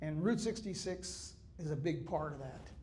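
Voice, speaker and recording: A man's high-pitched voice with audible room echo around it. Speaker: author and historian speaker. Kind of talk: public talk. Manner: conversational with humor.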